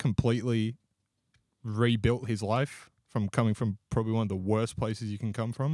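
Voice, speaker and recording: Speaking in an Australian accent, a man uses a medium pitch and a dark, mellow tone at a moderate pace. The recording is very clean with a silent background and a dry, close sound with no echo. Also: fairly even intonation. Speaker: podcast co-host. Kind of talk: casual chat.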